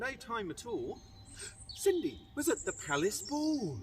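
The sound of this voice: A man speaks at a slow pace with big pitch swings.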